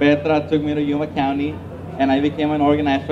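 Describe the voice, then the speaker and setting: Speaking fairly quickly with a Spanish accent, a man uses a fairly high pitch and a monotone, flat intonation amid audible room echo and noticeable background noise. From Mexico. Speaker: newly elected school board member. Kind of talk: victory speech. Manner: halting.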